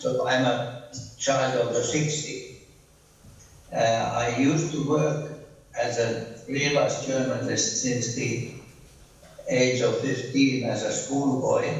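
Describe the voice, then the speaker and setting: A man speaks very slowly with long, frequent pauses, amid audible room echo and noticeable background noise. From Finland. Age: 80s+. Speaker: professor. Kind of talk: keynote lecture. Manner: halting, many fillers.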